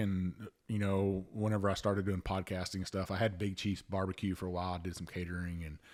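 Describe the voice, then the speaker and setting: A man talks at a fairly quick pace with a Louisiana accent and a very deep, low pitch. The recording is very clean, with a silent background. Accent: Cajun Louisiana. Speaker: podcast host, Coast Guard veteran. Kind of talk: casual chat.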